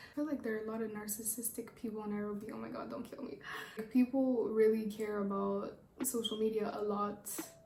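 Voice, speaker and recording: In a Rwandan accent, a woman talks at a fairly quick pace with a fairly high pitch and fairly even intonation, amid audible room echo and noticeable background noise. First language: Kinyarwanda. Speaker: YouTuber. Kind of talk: casual chat. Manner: rambling, fast.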